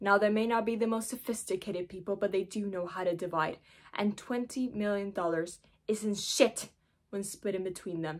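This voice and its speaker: With ordinary pitch variation and a moderate pace, a woman talks in a quiet setting. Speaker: actor doing self-tape monologues. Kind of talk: dramatic monologue performance. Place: home room. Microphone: phone near.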